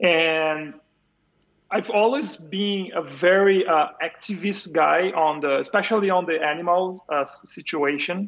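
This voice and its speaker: A man speaks at a fairly slow pace with a high pitch. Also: ordinary pitch variation. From Brazil, São Paulo. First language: Portuguese. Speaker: video game composer and sound designer. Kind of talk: casual interview chat. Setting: remote call.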